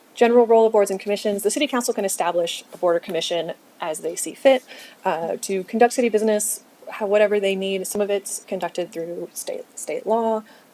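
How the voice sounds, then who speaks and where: Very fast speech from a woman, medium in pitch with ordinary variation, amid noticeable background noise. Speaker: city staff presenter. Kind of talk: training presentation.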